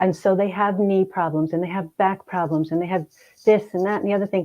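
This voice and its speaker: Spoken with a fairly even intonation in an American accent, it is an unremarkable speaking voice. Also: woman. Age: 60s. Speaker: hypnotherapist and grief counselor. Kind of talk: interview conversation.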